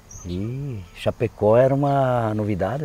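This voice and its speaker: A man speaks with ordinary pitch variation. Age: 60s. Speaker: landless movement settler, farmer. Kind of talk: interview testimony. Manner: halting, many fillers.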